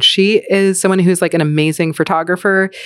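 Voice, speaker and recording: At a moderate pace, a woman speaks with a medium pitch and an animated tone on a very clean recording with a silent background. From US Northeast, New York. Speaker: cookbook author. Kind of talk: casual chat. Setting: at home, kitchen counter.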